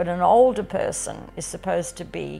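Faint music plays in the background as a woman with an Australian accent speaks at a moderate pace. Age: 70s. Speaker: farmer. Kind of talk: documentary interview answer. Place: home room.

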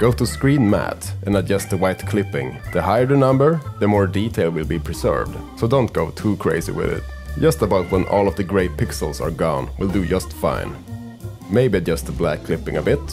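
Over music in the background, a man talks at a moderate pace with a Swedish accent and an upbeat tone. His very deep, low voice makes very wide pitch swings. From Sweden. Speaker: filmmaker. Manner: casual, upbeat.

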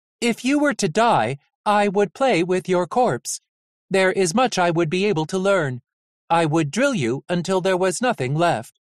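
A man's put-on character voice, high-pitched, at a moderate pace over a quiet background

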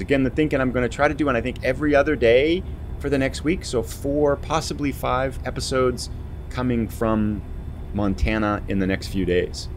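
A man's fairly quick speech over light background noise. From eastern US. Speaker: gaming YouTuber; gaming streamer. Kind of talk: let's play commentary; gameplay commentary. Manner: relaxed, conversational with fillers. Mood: relaxed, upbeat.

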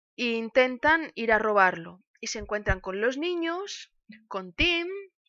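A woman with a high voice speaks at a very slow pace with lively intonation. The background is quiet and the sound is dry with no echo. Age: 30s. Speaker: music teacher and streamer; book streamer. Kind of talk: casual book talk; casual stream talk, book review. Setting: live stream. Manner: halting. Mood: warm, nostalgic. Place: home room. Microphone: webcam.

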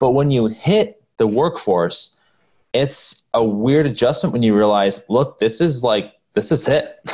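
A man with an American accent speaks with very wide pitch swings against a quiet background. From US West Coast (Silicon Valley, California). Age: 20s. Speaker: business founder. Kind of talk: casual interview. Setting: video call. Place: home room. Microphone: earbuds.

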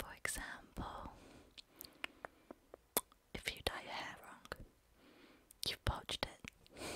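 Whispering very slowly, a soft-spoken woman is heard in a dry recording with no echo and light background noise. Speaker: language teacher. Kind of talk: casual lesson explaining slang. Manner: soft close-mic ASMR whisper. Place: home room. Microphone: studio mic.

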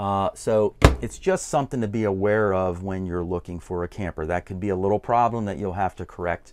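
A man is speaking. His pace is fairly quick. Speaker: RV reviewer. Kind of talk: walkthrough tour commentary.

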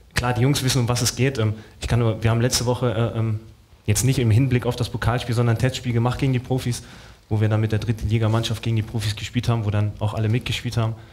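Very fast male speech, monotone and flat, with very even loudness, a somewhat breathy quality, and light background noise. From Dortmund, Germany; Germany. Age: 30s. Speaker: professional footballer; guest. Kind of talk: talk show discussion. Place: stage. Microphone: headset.

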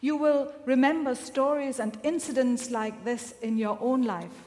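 A woman speaks in a high voice with ordinary pitch variation. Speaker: minister preaching. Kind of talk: sermon. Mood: calm, reflective storytelling. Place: church.

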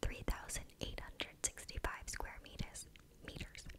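A woman whispering amid noticeable background noise. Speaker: video creator. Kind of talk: soft-spoken reading of Christmas facts. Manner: intimate close-mic whisper. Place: home room. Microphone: studio mic.

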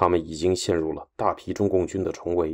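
In a very clean recording with a silent background, a man speaks at a moderate pace in a dark, mellow tone that sounds serious and dramatic. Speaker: radio host and history narrator. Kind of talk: history documentary narration, scripted and read aloud. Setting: studio. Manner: formal, steady and measured, grave broadcast delivery that builds tension; even, newsreader-like pace, serious tone, briefly dramatic at battle turning points.

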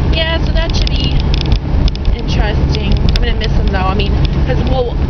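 A woman talks at a fairly quick pace with a dry sound and no echo, against loud background noise. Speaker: vlogger. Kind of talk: casual vlog chat. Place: car. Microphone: phone near.

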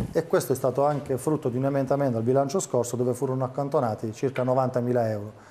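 Over light background noise, a man rushes along at a very fast pace with hardly any pauses and fairly even intonation. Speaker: city councilman for public services. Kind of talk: political debate. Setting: TV studio. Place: studio. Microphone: lapel.

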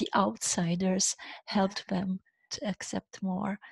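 In a Romanian accent, a somewhat breathy woman speaks at a moderate pace with fairly even intonation, the sound dry with no echo and the background quiet. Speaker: leadership coach. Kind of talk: interview. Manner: halting, frequent repeated words. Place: home room. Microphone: headset.

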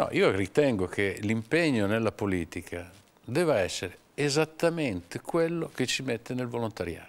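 At a moderate pace, a man's medium-pitched voice moves through very wide pitch swings. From Romagna, Cesena. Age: 50s. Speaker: communications agency owner. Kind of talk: interview.

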